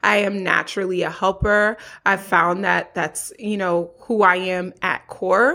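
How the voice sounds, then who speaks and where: In an American accent, a woman talks at a fairly slow pace with a medium pitch, a bright, sharp tone and fairly even intonation. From Haitian family, US. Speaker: therapist. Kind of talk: interview.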